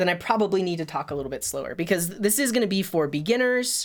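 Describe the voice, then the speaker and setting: Lively intonation carries a woman's medium-pitched voice. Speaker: coding livestreamer. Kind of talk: casual live coding stream.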